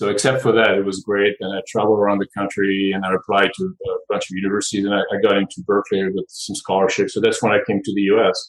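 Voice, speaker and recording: A man with a French accent talks at a very fast pace. He hardly pauses at all. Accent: noticeable French. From France. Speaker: nonprofit board chair, tech executive. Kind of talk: casual interview chat.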